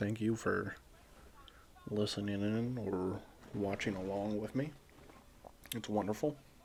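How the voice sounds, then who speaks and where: A man speaks quietly. Noticeable background noise runs behind him. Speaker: wrestling watch-along streamer. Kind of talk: casual commentary. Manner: quiet, low; halting.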